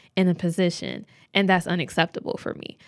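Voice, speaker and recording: A woman's unremarkable speaking voice at medium pitch and moderate pace, on a very clean recording with a silent background. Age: 20s. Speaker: podcast host. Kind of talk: casual monologue.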